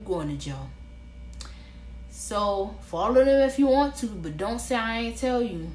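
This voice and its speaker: Against noticeable background noise and audible room echo, a woman with an American accent speaks fairly slowly, her loudness swinging widely. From Florida, Orlando. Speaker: vlogger. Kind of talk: casual advice vlog. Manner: animated.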